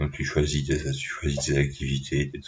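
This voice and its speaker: Vocal fry runs through a man's very deep, low voice as he speaks at a fairly slow pace. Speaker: vlogger. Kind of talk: casual monologue. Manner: halting.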